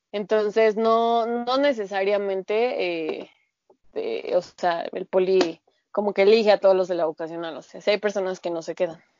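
Using a plain, everyday voice, a woman speaks at a moderate pace and a medium pitch with ordinary pitch variation and big swings in loudness. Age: 20s. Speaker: pharmaceutical chemist. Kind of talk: casual chat.

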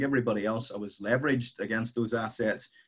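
A man is speaking. He has a Northern Irish accent. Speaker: property investor. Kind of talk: casual interview chat.

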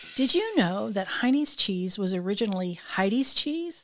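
An ordinary speaking voice with an American accent moves at a moderate pace with lively intonation, on a very clean recording with a silent background. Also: woman. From Michigan. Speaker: company podcast host, tourism director. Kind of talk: scripted narration; casual interview.

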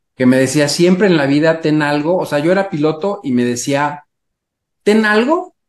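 A man with a fairly high pitch, ordinary pitch variation, a normal speaking voice and a moderate pace. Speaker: entrepreneur and airline pilot. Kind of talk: interview conversation.

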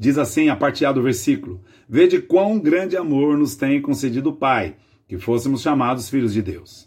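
A man's plain, everyday voice, fairly high in pitch, with lively intonation and a quiet background. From Brazil, Greater São Paulo. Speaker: pastor. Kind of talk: devotional sermon.

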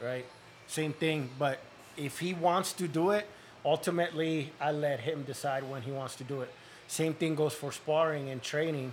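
A somewhat breathy man at a moderate pace, with fairly even intonation. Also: fairly high pitch for a man. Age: 40s. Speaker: cut man and boxing coach. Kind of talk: casual chat.

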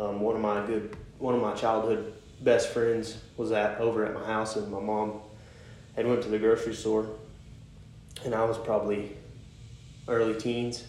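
With long, frequent pauses, a man speaks in a monotone, flat way at medium pitch, and audible room echo surrounds him. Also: moderate pace. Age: 20s. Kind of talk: devotional talk. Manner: halting.

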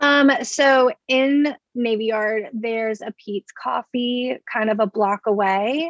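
A woman speaks very slowly at a fairly high pitch, with hardly any pauses and fairly even intonation, in a dry, close sound with no echo. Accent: American. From US South, Baton Rouge, Louisiana. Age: 20s. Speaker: political club board member. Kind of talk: casual chat.

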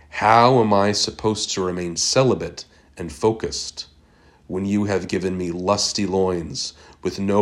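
At a fairly slow pace, a man talks in a plain, everyday voice, fairly low in pitch with ordinary pitch variation. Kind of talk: poetry reading, performed poem. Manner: questioning, anguished, wrestling with faith; repetitive, building in intensity, with wry, sardonic edges.

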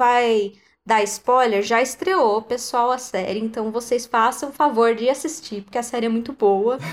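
At a fairly slow pace, this unremarkable speaking voice uses ordinary pitch variation on a very clean recording with a silent background. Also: woman, fairly high pitch for a woman. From Brazil, countryside. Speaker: podcast host. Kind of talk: casual chat.

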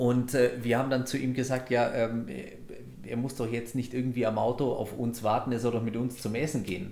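Moderate pace, medium pitch and monotone, flat intonation from a man, with audible room echo. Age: 40s. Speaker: podcast host. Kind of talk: casual chat. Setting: recorded in a cigar shop.

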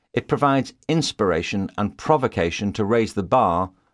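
A man's unremarkable speaking voice, fairly low in pitch, with lively intonation, on a very clean recording with a silent background. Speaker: audiobook narrator. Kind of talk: audiobook reading aloud.

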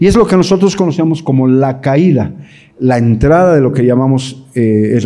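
There is audible room echo as a man talks at a moderate pace. His medium-pitched voice carries lively intonation. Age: 60s. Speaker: pastor and English teacher giving a talk to parents. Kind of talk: lecture. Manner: halting, many fillers and repetitions.

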